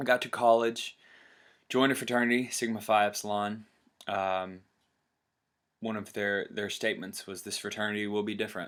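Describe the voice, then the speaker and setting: A man with a Tennessee accent talks at a fairly quick pace in a fairly low, monotone, flat voice, broken by long, frequent pauses. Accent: US Southern (Tennessee). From Tennessee, Chattanooga. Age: 20s. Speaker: vlogger. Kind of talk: personal testimony vlog. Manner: halting, many fillers.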